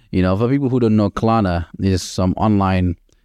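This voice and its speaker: With a non-native accent, a man talks at a moderate pace in a very deep, low pitch with ordinary pitch variation. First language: not English. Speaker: solo podcast host. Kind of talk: motivational monologue. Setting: home kitchen. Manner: casual, filler-heavy.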